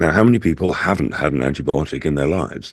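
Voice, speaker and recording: A man speaks with vocal fry and ordinary pitch variation. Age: 70s. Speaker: natural health supplement advocate. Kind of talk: podcast interview.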